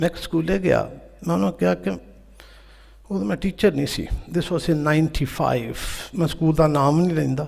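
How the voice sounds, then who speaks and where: This man has a plain, everyday voice, fairly high in pitch, with lively intonation. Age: 60s. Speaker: teacher and conference speaker. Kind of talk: conference speech.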